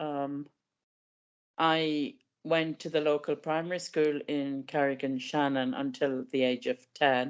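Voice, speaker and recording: The speaker has an Irish accent and a fairly slow pace. The background is quiet. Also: woman. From west of Ireland, County Leitrim. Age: 70s. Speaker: podcast guest with a rare eye condition. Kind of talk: interview. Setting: podcast.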